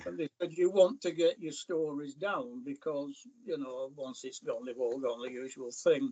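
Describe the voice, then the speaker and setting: A man with a Lancashire accent speaks at a moderate pace with hardly any pauses. His fairly high voice has lively intonation and big swings in loudness. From northern England, North East Lancashire mill town. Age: 80s+. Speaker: falconer and author. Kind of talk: interview.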